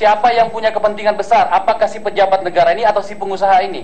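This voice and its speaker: Loud and very fast, a man talks in a high voice. Background noise is noticeable. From South Sulawesi coast. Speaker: parliamentary ethics panel member. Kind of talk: questioning a witness at a hearing. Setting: hearing room with PA microphones. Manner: forceful.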